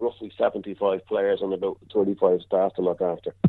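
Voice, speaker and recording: A man with a Dublin accent. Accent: Dublin Irish. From Dublin, Ireland. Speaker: football kit man. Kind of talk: casual interview.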